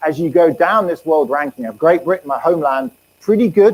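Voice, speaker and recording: A man with an English accent, fairly high-pitched, very fast and lively in intonation, in a dry, close sound with no echo. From England. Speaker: economics professor. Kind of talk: lecture.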